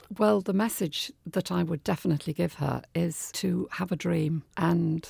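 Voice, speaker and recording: A woman's fairly low, dark, mellow voice with vocal fry, at a moderate pace, in a very clean recording with a silent background and a dry, close sound with no echo. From Liverpool, England. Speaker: business founder and former dance teacher. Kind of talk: radio interview. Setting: radio studio.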